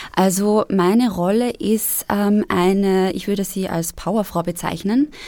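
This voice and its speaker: Her pitch is in the middle of the range. This woman speaks very slowly. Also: ordinary pitch variation. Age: 20s. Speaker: actress. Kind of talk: casual chat. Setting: studio.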